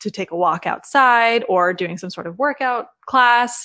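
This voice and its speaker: Using ordinary pitch variation, a woman speaks with an American accent. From US Mid-Atlantic (Maryland). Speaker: social media business coach. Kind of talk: casual interview chat. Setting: remote call.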